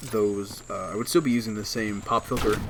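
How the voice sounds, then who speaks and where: A quiet man at a moderate pace. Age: young. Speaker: gaming YouTuber. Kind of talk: casual update vlog over gameplay. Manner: halting, many fillers.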